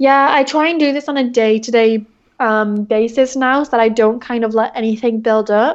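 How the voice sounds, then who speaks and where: With an English accent, a woman speaks at a moderate pace. Her pitch is fairly high and her intonation fairly even. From England. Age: 20s. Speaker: entrepreneur. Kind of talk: interview.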